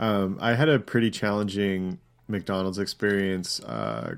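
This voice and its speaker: With an American accent, a man talks at a moderate pace and a fairly low pitch with ordinary pitch variation. The recording is very clean, with a silent background. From Canada. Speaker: podcast co-host. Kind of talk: casual chat.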